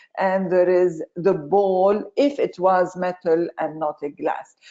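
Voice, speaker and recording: At a very slow pace, a woman speaks with a Lebanese accent at medium pitch. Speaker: chemistry professor. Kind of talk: webinar lecture. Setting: online webinar.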